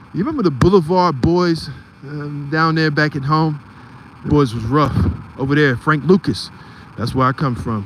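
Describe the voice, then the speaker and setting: Amid noticeable background noise, a man with a fairly high pitch and ordinary pitch variation talks at a moderate pace, leaving long, frequent pauses. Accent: American. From Philadelphia, US. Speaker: live streamer and photography channel host. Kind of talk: live stream commentary. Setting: outdoors on a street at night.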